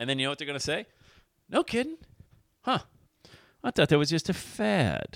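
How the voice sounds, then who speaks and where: Raising and projecting his voice, a man speaks very fast in an energetic, animated tone that is bright and sharp, with lively intonation and a dry, close sound with no echo. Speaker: motivational podcast host and speaker. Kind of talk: motivational monologue. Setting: studio microphone. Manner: screams into microphone.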